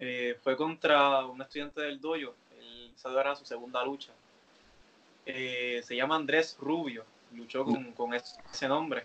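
This man has a plain, everyday voice. His pitch is medium and his intonation fairly even. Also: fairly slow pace, big swings in loudness. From Puerto Rico, Carolina. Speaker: professional wrestler. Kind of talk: interview.

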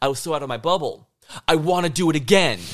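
Vocal fry in a man's fairly high-pitched voice. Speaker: guest, live action roleplayer. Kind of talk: casual interview conversation.

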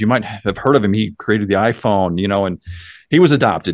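Against a quiet background, a man with an American accent talks at a very fast pace, his fairly low pitch showing ordinary variation. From US small town. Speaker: mindset coach. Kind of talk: podcast interview.

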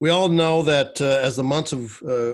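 A man's normal speaking voice, fairly slow, with ordinary pitch variation. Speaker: podcast host. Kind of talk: solo podcast monologue. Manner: casual, with frequent fillers.

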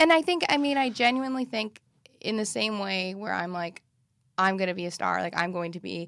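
In an American accent, a plain, everyday voice moves at a fairly quick pace with lively intonation. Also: woman, medium pitch for a woman. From US Midwest. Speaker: comedian and actor. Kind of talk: casual chat.

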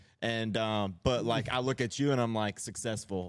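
In an unremarkable speaking voice, a man with a fairly low pitch talks at a moderate pace, the recording very clean with a silent background and a dry, close sound with no echo. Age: 30s. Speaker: podcast co-host in recovery. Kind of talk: casual chat.

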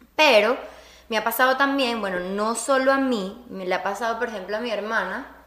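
A woman's fairly high voice at a moderate pace with ordinary pitch variation, in audible room echo. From Venezuela. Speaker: podcast co-host. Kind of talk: casual chat. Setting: studio with small audience.

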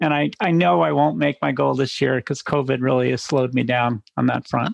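A man at a moderate pace, medium pitch, fairly even intonation and vocal fry

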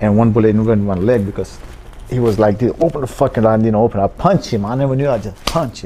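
A man's very fast, animated delivery at medium pitch, with a non-native accent, ordinary pitch variation and noticeable background noise. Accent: foreign, non-native English. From Pakistan. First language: not English. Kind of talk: casual interview.

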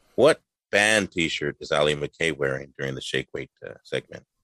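A man talks at a moderate pace, and the sound is dry and close with no echo. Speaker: podcast host. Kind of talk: casual comedy podcast banter. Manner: jokey, upbeat.

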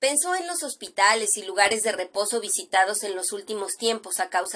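An unforced reading voice is used here.

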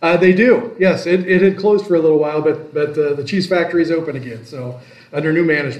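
A man with a Midwestern American accent talks very fast, his fairly high pitch showing ordinary variation. Noticeable background noise and audible room echo fill the recording. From Iowa. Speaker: small-town mayor. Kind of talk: interview.

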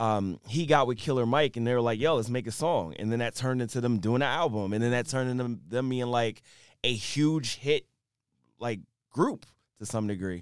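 The speaker has a normal speaking voice and an American accent. The pace is fairly quick, with ordinary pitch variation. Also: man, medium pitch for a man. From Philadelphia, US. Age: 40s. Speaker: rapper and tech entrepreneur. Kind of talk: casual interview.

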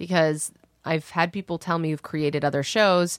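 A woman with a fairly low pitch uses a normal speaking voice and ordinary pitch variation, the sound dry and close with no echo on a very clean recording with a silent background. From Canada. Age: 30s. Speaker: actor and writer. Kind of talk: casual chat.

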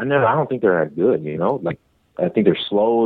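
Here a man talks at a fairly quick pace with a Detroit accent. His intonation is lively. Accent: Detroit urban American. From Detroit, Michigan. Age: 20s. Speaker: MMA fighter. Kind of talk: casual chat.

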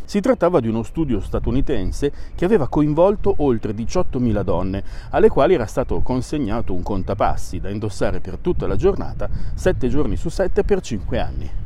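A man's voice with very wide pitch swings, against noticeable background noise. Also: medium pitch for a man, moderate pace. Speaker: science podcast host. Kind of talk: scripted narration. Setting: outdoors. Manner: walking while talking.

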